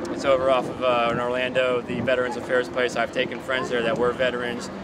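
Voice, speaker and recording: Amid noticeable background noise and audible room echo, a man at medium pitch talks at a fairly quick pace. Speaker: veteran and mechanic. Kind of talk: street interview. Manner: fast; animated.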